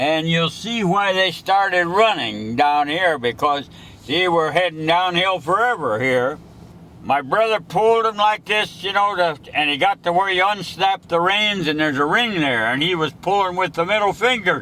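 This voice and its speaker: In a Midwestern American accent, the speaker uses lively intonation and a bright, sharp tone at a moderate pace. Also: man, high pitch for a man. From western Ohio. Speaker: retired farmer. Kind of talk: oral history storytelling.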